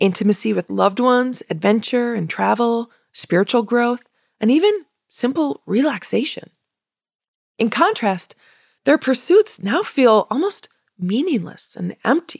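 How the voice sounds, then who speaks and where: An unremarkable speaking voice, a woman's, fairly high in pitch and fairly slow, with lively intonation and a dry, close sound with no echo. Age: 40s. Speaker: podcast host and career coach. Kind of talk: solo podcast monologue.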